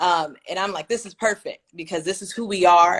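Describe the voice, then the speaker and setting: A woman speaks with an American accent in a plain, everyday voice, her pitch fairly low and her intonation fairly even. She talks at a fairly quick pace in a very clean recording with a silent background. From Kansas City, Kansas. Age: 20s. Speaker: former student leader, alumna. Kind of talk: interview.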